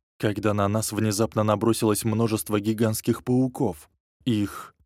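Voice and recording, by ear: The background is quiet. The voice reads aloud in a natural voice.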